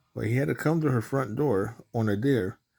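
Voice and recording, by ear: Reading aloud in a natural voice, the speaker goes through the text.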